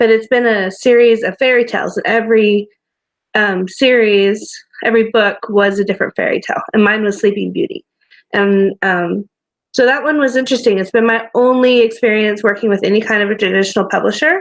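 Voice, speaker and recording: Quick-paced and fairly high-pitched, a woman talks in a plain, everyday voice with ordinary pitch variation. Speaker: romance author. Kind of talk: casual chat.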